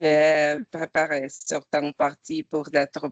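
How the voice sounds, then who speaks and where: In dry, close sound with no echo, a woman with a non-native accent speaks at a very slow pace and a very deep, low pitch. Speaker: humanitarian program coordinator. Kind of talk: webinar presentation. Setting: video call. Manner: halting.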